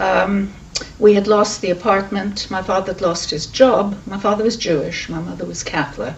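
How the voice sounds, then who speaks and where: A woman with a British accent talks at a moderate pace and medium pitch with ordinary pitch variation. Her loudness swings a lot, and the recording has noticeable background noise and audible room echo. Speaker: Holocaust refugee witness. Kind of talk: oral history testimony. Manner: hesitant, with many fillers.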